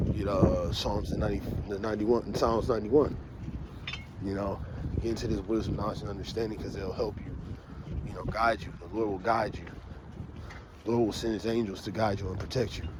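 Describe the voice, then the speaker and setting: Delivery is very fast, broken by long, frequent pauses and big swings in loudness. Noticeable background noise and audible room echo surround the voice. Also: man, fairly low pitch for a man. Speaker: street preacher. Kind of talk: walking vlog talk. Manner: halting.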